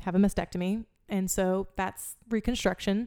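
In a very clean recording with a silent background, a woman talks in a dark, mellow tone with monotone, flat intonation. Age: 20s. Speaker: actor and breast cancer survivor. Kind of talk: casual interview.

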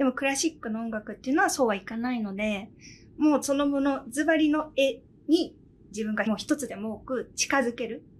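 A woman's high-pitched voice moves at a fairly quick pace, varying in pitch in an ordinary way. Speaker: pianist and podcast host. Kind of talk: casual chat. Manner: animated.

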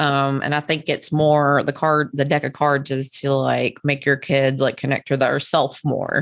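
Monotone, flat intonation in a Kentucky accent, very even in loudness with hardly any pauses over a quiet background. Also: woman, very deep, low pitch for a woman. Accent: Kentucky Southern US. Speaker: podcast host. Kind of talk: casual interview chat. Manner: filler-heavy, chatty.

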